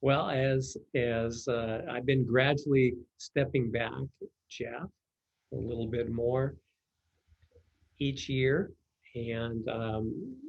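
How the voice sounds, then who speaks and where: With long, frequent pauses, a man at medium pitch speaks very slowly and sounds somewhat breathy. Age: 70s. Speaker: pest control company executive. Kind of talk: interview. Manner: halting, many fillers.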